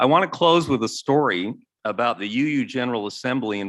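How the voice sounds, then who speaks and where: Against a quiet background, a man with an American accent and a normal speaking voice talks at a moderate pace with lively intonation. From Utah, Salt Lake City. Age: 60s. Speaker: church member giving testimonial. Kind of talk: testimony. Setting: church sanctuary.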